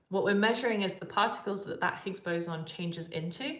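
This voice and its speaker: With audible room echo, a woman speaks at a medium pitch. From England, Coventry. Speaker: particle physicist. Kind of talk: live Q&A stream. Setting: live stream. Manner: hesitant, many fillers.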